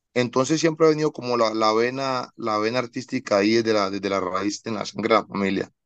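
A man's medium-pitched voice at a very fast pace with hardly any pauses, ordinary pitch variation, a dry sound with no echo and a quiet background. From Colombia, Medellín. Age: 30s. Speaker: singer-songwriter and producer; guest. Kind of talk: interview. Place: home room. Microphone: video call.

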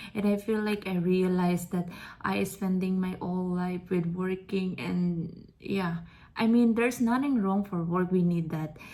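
The voice is dark and mellow and somewhat breathy, with fairly even intonation at a fairly slow pace. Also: woman, medium pitch for a woman. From Philippines. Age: 30s. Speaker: vlogger. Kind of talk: personal vlog monologue.

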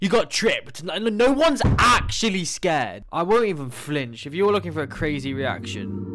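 Pitch swings very widely in a man's speech. His pace is moderate. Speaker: reaction streamer. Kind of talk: casual reaction commentary. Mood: joking, mock bravado. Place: home room. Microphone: studio mic.

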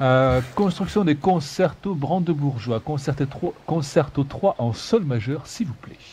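A somewhat breathy voice with a dark, mellow tone and lively intonation moves at a very slow pace with hardly any pauses. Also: man, fairly high pitch for a man. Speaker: gaming YouTuber. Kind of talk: casual let's play commentary. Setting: online voice chat. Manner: playful.

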